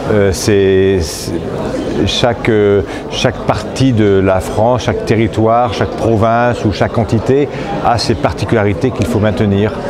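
A man talks at a fairly slow pace. Noticeable background noise is present. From northern France (Picardy). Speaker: politician. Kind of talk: interview answer. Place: hall.

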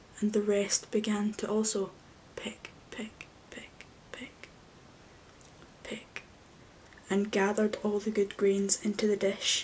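The speaker is soft-spoken and goes at a very slow pace with long, frequent pauses. Light background noise can be heard. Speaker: storyteller. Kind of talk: story reading aloud. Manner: soft-spoken, low bedtime storytelling voice. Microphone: webcam.

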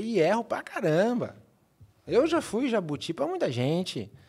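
A man at a moderate pace, very wide pitch swings, against a quiet background. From Brazil. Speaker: marketing executive; podcast guest. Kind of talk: interview. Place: studio. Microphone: studio mic.

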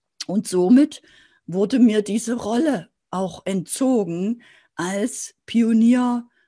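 A woman with a fairly high pitch talks at a very slow pace, her somewhat breathy voice dark and mellow in tone, with lively intonation over a quiet background. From East Germany, Dresden (Saxony); Saxony. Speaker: sales and business coach; sales, business coach. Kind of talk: motivational video talk to camera. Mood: warm, encouraging. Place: office. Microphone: webcam.

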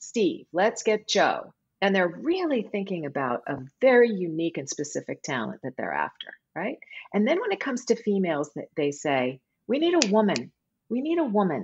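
Vocal fry runs through this woman's medium-pitched voice, spoken with an American accent. Her pitch swings very widely at a moderate pace. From California. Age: 50s. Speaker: voice actor. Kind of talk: interview conversation. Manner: animated, laughs often.

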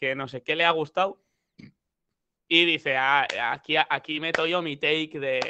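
A man with a fairly high pitch and a bright, sharp tone talks at a fairly slow pace with fairly even intonation. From Spain. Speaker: rapper; interview guest. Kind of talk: casual chat. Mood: relaxed, joking. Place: home room. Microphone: headset.

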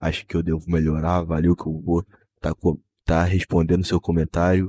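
A very deep, low male voice with a dark, mellow tone moves at a moderate pace in a flat monotone. The recording is very clean and dry, close-miked with no echo and a silent background. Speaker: gaming youtuber. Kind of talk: gameplay narration. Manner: casual.

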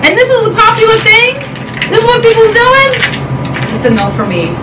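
A woman speaks over loud background noise. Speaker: food vlogger. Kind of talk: casual vlog chat. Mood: skeptical, amused, blunt. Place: home room.

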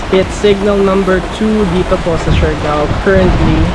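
Over loud background noise, a man is speaking. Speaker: travel vlogger. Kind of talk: casual vlog chat. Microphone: phone near.

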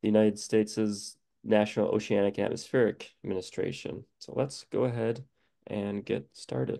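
Moderate pace, dark, mellow tone. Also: man, quiet background. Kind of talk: lecture. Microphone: video call.

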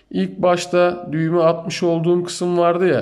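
In a room with audible echo, a man talks at a fairly slow pace in a high pitch with a dark, mellow tone. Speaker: amateur fishing youtuber. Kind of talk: tutorial. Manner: slow, step-by-step.

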